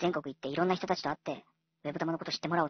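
A man rattles along at a very fast pace, his high voice showing ordinary pitch variation. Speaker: online tutor and education channel host. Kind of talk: casual solo radio-style talk.

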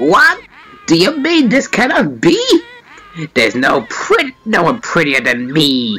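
Using a put-on character voice, a man speaks at a fairly slow pace with high pitch and long, frequent pauses. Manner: vain, indignant, theatrical.

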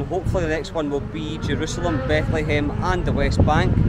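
In a dry sound with no echo, this man talks fairly quickly against loud background noise. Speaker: travel vlogger. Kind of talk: casual vlog chat. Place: street. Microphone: phone near.

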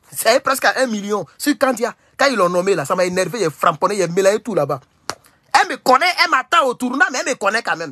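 The voice is raised and projected, with an animated tone, very wide pitch swings and a very fast pace. It has an Ivorian accent, and the background is quiet. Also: man, high pitch for a man. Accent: Ivorian French accent when speaking English. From Côte d'Ivoire. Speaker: political commentator. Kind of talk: livestream commentary. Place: home room. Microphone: phone near.

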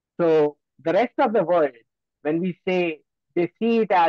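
Over a quiet background with a dry sound and no echo, a man speaks at a high pitch with ordinary pitch variation. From Gujarat, India. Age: young. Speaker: geopolitical analyst. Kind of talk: lecture. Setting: video call. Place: home room. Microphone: video call.

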